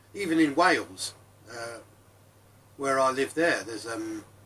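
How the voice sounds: At a slow pace, a man speaks in a bright, sharp tone with a slightly husky edge.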